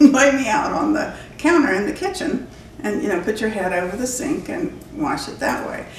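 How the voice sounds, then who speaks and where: A woman with an American accent at a moderate pace, her pitch swinging very widely, with audible room echo and noticeable background noise. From West Virginia, Bluefield; later Florida. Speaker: pastor's wife. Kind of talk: interview storytelling.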